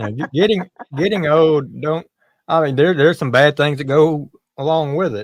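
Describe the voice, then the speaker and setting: This man has an ordinary speaking voice, fairly high in pitch with ordinary pitch variation. He keeps a moderate pace in a dry, close sound with no echo. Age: 50s. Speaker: live streamer. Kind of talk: casual chat.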